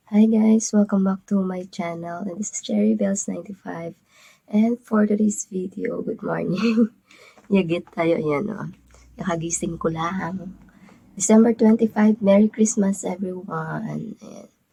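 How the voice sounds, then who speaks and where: Her voice somewhat breathy with a dark, mellow tone, a woman speaks at a medium pitch with fairly even intonation but big swings in loudness. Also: fairly slow pace. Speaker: vlogger. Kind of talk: casual vlog, gift unboxing.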